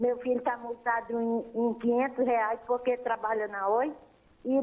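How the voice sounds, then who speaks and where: With a high voice, a woman speaks at a fairly slow pace. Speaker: caller. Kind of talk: phone-in complaint. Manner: animated, indignant.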